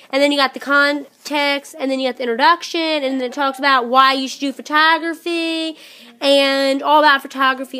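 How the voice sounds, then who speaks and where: A woman speaks at a fairly quick pace in a raised, projected voice, her pitch high and her intonation monotone and flat. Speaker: vlogger. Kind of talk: casual vlog show-and-tell. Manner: loud. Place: home room. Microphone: phone near.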